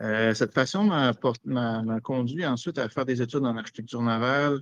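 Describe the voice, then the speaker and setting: Recorded with a dry, close sound and no echo, a man with a Quebec accent talks at a fairly slow pace. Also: quiet background. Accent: Québécois French. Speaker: naval architect. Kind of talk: self-introduction presentation.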